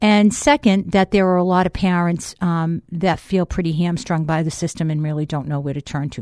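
A woman with a Boston accent speaks at a moderate pace. The sound is dry and close with no echo, on a very clean recording with a silent background. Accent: Boston accent, noticeable. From Boston, Massachusetts. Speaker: school board member. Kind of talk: casual radio interview. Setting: radio studio. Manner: animated, jokey.

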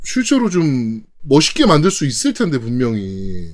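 Pitch rises and falls across a very wide range while the delivery stays fairly unhurried. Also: man. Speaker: gaming podcast co-host. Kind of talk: casual chat.

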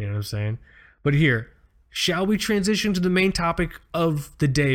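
At a fairly quick pace, a man speaks. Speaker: watch podcast co-host. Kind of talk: casual chat. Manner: rambling, repeats words.

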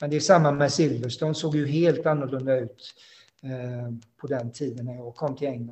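Speaking at a moderate pace, a man with a medium-pitched, somewhat breathy voice keeps his intonation fairly even. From Sweden, Halland (Frillesås). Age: 50s. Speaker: former racing driver. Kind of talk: interview. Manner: halting.

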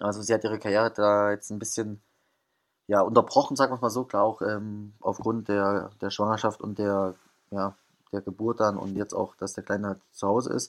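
A man's fairly low-pitched, monotone, flat delivery at a moderate pace against a quiet background. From Thuringia, eastern Germany. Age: 20s. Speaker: professional footballer. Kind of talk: interview. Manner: hesitant, many fillers.

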